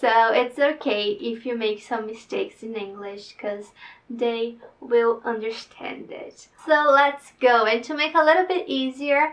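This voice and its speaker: This woman has a high pitch and a Brazilian Portuguese accent. She talks at a fairly slow pace with lively intonation and big swings in loudness. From Brazil, northeast. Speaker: vlogger, future au pair. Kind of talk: reading aloud her written application; casual vlog talk.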